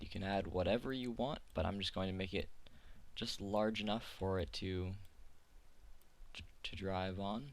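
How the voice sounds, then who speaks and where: A man's fairly low voice with ordinary pitch variation, long, frequent pauses and audible room echo. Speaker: 3D software tutorial maker. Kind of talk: tutorial. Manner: fast; halting, filler words.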